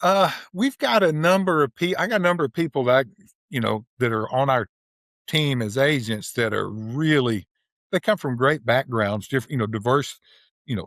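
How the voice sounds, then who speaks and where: A man speaks at a medium pitch and a moderate pace with lively intonation, in a dry, close recording with no echo and a silent background that is very clean. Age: 60s. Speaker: rural land broker and investor. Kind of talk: podcast interview. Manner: casual, halting with many restarts.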